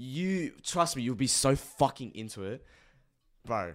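Speaking with an Australian accent, a man sends his pitch through very wide swings on a very clean recording with a silent background. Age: 20s. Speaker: youtuber, podcast host. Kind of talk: casual chat.

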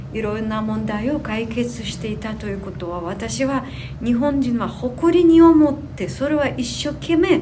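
A woman with a high pitch talks at a very slow pace, her voice making very wide pitch swings. Noticeable background noise and audible room echo are in the recording. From Ukraine (Sumy region). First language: Ukrainian or Russian (speaking Japanese). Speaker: tour guide trainee, Ukrainian resident. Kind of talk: interview. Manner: halting.

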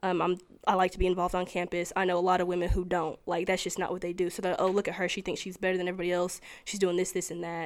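With a Tennessee accent, a woman talks at a very fast pace in a medium pitch and a monotone, flat intonation, on a very clean recording with a silent background. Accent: Southern US (Tennessee). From US South, Tennessee. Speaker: college student. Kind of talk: casual interview. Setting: indoor room on campus.

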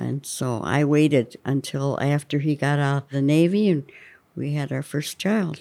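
A woman with a western Pennsylvania accent speaks at a moderate pace in a very deep, low pitch, her tone dark and mellow and her pitch varying normally, in a very clean recording with a silent background. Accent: western Pennsylvania American. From rural northwestern Pennsylvania. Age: 80s+. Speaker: retiree and care home resident. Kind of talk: casual interview chat. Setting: care home, during a manicure.

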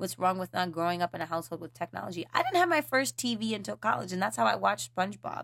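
Very fast and with hardly any pauses, a woman's medium-pitched voice shows vocal fry and very wide pitch swings. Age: 20s. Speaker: podcast host. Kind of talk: casual solo talk on mindfulness. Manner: casual, conversational.

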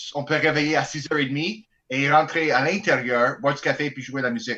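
With an Albertan accent, a man speaks fairly slowly at a fairly high pitch, in a bright, sharp tone with ordinary pitch variation. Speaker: bagpiper in a band. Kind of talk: casual chat.

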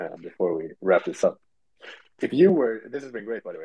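A man talks at a very fast pace with a Swedish accent. The sound is dry and close, with no echo. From Sweden. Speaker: podcast host. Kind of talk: casual chat. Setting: Twitter space audio call.

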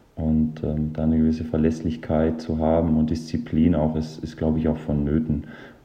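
This man has a very deep, low pitch and talks at a moderate pace. Audible room echo surrounds his voice. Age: 30s. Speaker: professional football goalkeeper. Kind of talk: interview. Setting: remote recording from home.

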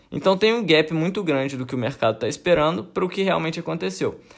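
On a very clean recording with a silent background, a man speaks at a fairly high pitch with vocal fry. His pace is fairly quick, and his pitch swings very widely. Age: 20s. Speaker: podcast host, AI student. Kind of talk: educational monologue. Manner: casual.

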